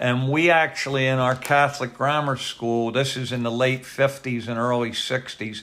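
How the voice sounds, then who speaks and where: A man's monotone, flat delivery with hardly any pauses, over noticeable background noise. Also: medium pitch for a man, moderate pace. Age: 70s. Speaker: retired police captain. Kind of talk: oral history interview.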